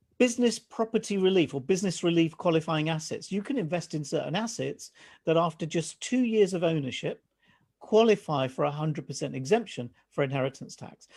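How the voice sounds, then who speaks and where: A man with high pitch and lively intonation at a fairly quick pace. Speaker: financial adviser. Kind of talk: presentation to live online audience. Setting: live stream. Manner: fast.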